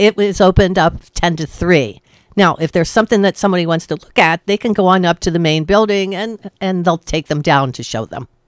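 With an unremarkable speaking voice, a woman talks fairly quickly at a fairly low pitch with ordinary pitch variation, the sound dry with no echo against a quiet background. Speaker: radio guest. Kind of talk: interview answer.

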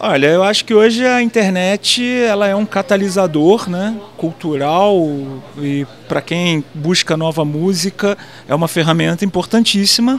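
Over light background noise, a man talks at a moderate pace in a high voice with ordinary pitch variation. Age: 40s. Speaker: journalist; interviewee. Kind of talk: interview. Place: hall. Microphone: handheld.

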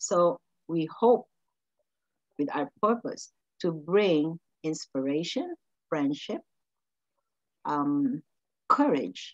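A woman with fairly low pitch speaks at a very slow pace with long, frequent pauses, in a dry sound with no echo and a quiet background. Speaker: podcast host. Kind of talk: interview host talk. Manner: enthusiastic, effusive. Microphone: video call.

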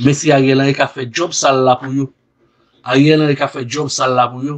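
The man's voice is fairly high, and his speed is moderate. His intonation remains fairly even. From Haiti. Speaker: news commentary video host. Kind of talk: news commentary. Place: studio.

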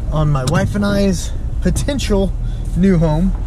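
Noticeable background noise sits behind a man whose voice sounds dry with no echo. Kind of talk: casual vlog chat. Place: car. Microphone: phone near.

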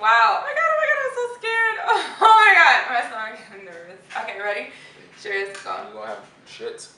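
A woman talks in a raised, projected voice at a fairly quick pace, with big swings in loudness. Audible room echo can be heard around her. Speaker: vlogger. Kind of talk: casual vlog chat. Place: home room. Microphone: camera far.

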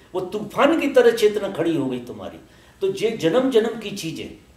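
Pitched high, a man talks at a very slow pace, with audible room echo. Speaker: spiritual teacher. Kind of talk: spiritual discourse. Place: home room.

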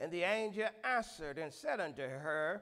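The man talks with a quiet background behind him. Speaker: pastor. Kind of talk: scripture reading, then sermon opening and prayer. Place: church. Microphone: handheld.

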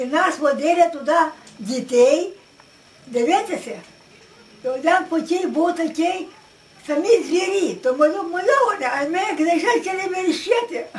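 Pausing long and often, a woman speaks fairly slowly at an extremely high pitch with lively intonation. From Western Ukraine. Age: 80s+. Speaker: village elder recalling the past. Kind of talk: interview answer. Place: home room. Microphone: camera far.

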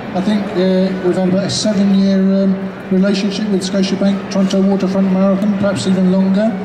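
Noticeable background noise runs under a man speaking at a high pitch in a monotone, flat intonation. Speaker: spokesperson for an elderly runner. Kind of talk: press conference answers. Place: hall. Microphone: pa.

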